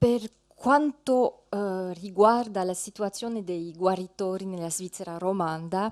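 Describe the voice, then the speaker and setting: Speaking at a fairly slow pace in a French accent, a woman with a medium pitch and ordinary pitch variation comes through with a dry, close sound, no echo, and a quiet background. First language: French (speaking Italian). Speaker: ethnologist, lecturer. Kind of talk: conference talk. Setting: conference hall, seated with slides. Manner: halting, many fillers.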